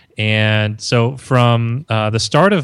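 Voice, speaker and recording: Pitch variation is ordinary on a very clean recording with a silent background. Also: man. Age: 30s. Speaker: marketing consultant. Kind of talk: interview. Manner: animated.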